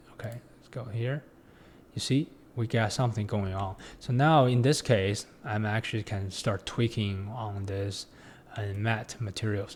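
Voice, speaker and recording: A man with a non-native accent speaks at a fairly slow pace, his fairly low voice somewhat breathy and his intonation fairly even. His loudness swings widely on a very clean recording with a silent background. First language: not English. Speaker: 3D design tutorial instructor. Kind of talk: tutorial. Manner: halting, many fillers and restarts.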